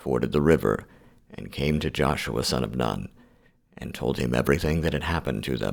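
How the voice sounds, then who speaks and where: Soft-spoken and showing vocal fry, a man talks at a moderate pace in a very deep, low pitch with ordinary pitch variation. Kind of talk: scripture reading for sleep.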